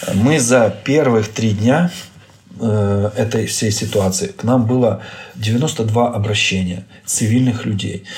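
Noticeable background noise sits behind a man speaking at a very slow pace. His pitch is fairly low, with ordinary pitch variation. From Ukraine. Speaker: neurosurgeon. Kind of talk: interview. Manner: hesitant, with filler sounds.

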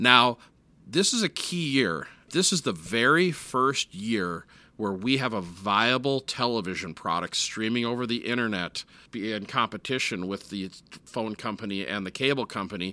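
Bright, sharp tone with lively intonation and an American accent. The pace is moderate on a very clean recording with a silent background. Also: man, medium pitch for a man. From US Midwest, Minneapolis. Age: 40s. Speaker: internet company owner. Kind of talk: interview. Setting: in-person, his home.

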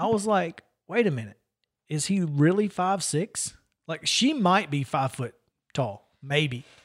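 Taking a fairly slow pace, a man lets his pitch swing very widely. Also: very clean recording, silent background. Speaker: sports radio host. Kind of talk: casual sports talk show. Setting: studio.

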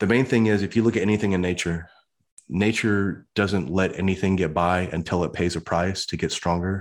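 Speaking at a fairly quick pace, a man has a very deep, low voice and a Midwestern American accent. The recording is very clean, with a silent background. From US Midwest. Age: 50s. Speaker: motivational speaker and army veteran. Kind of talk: interview.

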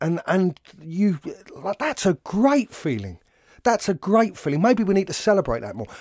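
A voice in a London accent at a moderate pace, with very wide pitch swings, in a dry, close sound with no echo on a very clean recording with a silent background. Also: man, high pitch for a man. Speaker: actor. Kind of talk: casual interview conversation. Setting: recorded at a college venue.

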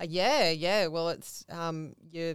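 A woman with an Australian accent, a very deep, low pitch and a fairly slow pace. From Central Coast, New South Wales, Australia. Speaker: customer service staff. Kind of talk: interview.

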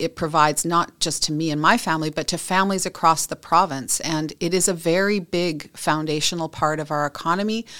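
A woman talks at a moderate pace with fairly even intonation. The recording is very clean with a silent background. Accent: Western Canadian. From British Columbia, Canada. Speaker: industry association executive. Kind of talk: interview.

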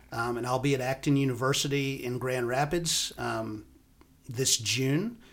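An unremarkable speaking voice from a man, medium in pitch, fairly slow, with fairly even intonation. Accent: American. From US South (Alabama, Florida panhandle). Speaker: professor and university dean. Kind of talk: podcast interview.

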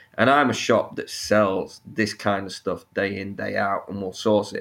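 This is a man talking. He has a Sheffield accent. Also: very clean recording, silent background. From northern England, Sheffield. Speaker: snake keeper and YouTuber. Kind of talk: podcast interview.

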